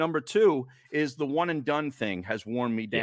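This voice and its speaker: Here is an ordinary speaking voice at a moderate pace, with lively intonation. The recording is very clean and the background silent, with a dry, close sound and no echo. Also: man. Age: 60s. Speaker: sports radio host and podcaster. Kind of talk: casual chat.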